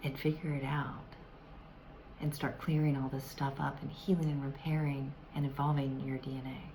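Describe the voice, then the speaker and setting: A woman with an American accent speaks at a moderate pace in a very deep, low pitch and a monotone, flat intonation. Light background noise sits behind her. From US South. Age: older. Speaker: self-help vlogger. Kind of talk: tutorial. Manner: hesitant, many fillers. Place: home room. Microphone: phone near.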